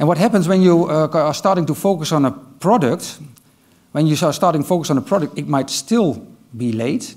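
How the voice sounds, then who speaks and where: Over a quiet background, a man with a Dutch accent talks fairly quickly at a fairly high pitch with lively intonation. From Netherlands. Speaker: IT manager; conference speaker. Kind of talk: conference talk. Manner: hesitant, many filler sounds. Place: stage. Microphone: headset.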